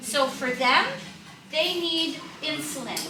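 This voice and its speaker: Amid noticeable background noise and audible room echo, a woman with a high pitch projects her raised voice at a moderate pace with ordinary pitch variation. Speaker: diabetes educator. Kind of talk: health seminar talk.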